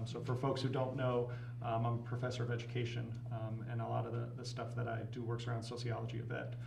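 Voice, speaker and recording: Monotone, flat intonation in an American accent, over noticeable background noise. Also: man. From northern US. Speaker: professor and advocacy volunteer. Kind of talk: casual interview. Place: studio.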